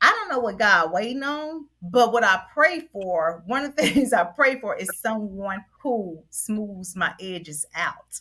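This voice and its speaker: Loud and energetic, a woman with a fairly high pitch speaks at a fairly slow pace with hardly any pauses, her voice making very wide pitch swings. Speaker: panelist. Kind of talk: casual chat.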